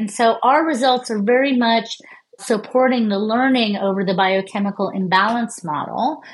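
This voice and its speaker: Over a quiet background, a woman with a plain, everyday voice talks at a moderate pace, fairly high in pitch and with ordinary pitch variation. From United States. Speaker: neuroscientist. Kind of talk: interview.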